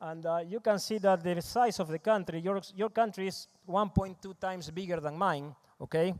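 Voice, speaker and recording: Using fairly even intonation and a high pitch, a man with an Argentine accent talks at a moderate pace with hardly any pauses. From Argentina, Rosario. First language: Spanish. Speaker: agribusiness consultant. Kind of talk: conference presentation. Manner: halting, many fillers.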